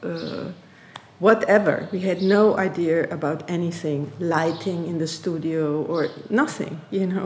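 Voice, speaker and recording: With a German accent, a woman speaks at a fairly slow pace and fairly low pitch with ordinary pitch variation, over noticeable background noise. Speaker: artist and researcher. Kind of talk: interview conversation. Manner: halting, with frequent repetitions.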